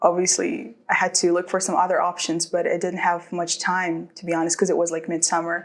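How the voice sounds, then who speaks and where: A woman's fairly low voice, a normal speaking voice, at a fairly quick pace with hardly any pauses and fairly even intonation, on a very clean recording with a silent background. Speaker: international student. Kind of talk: interview testimony.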